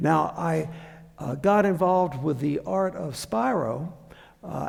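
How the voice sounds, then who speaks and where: With audible room echo around him, a man speaks in a Southern US accent at a fairly slow pace. His pitch is fairly high, with ordinary pitch variation. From US Deep South. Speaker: anthropology professor. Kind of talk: public lecture. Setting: theater with audience. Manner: halting, many fillers.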